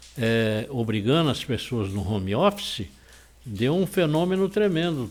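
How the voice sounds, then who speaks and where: Music plays in the background while a man speaks. He talks at a moderate pace with very wide pitch swings. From São Paulo coast, Brazil. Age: 70s. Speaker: real estate association president. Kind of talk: interview.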